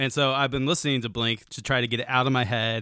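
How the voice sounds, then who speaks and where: Man with a bright, sharp tone, a medium pitch and a very fast pace. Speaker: podcast host. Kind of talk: casual banter podcast chat.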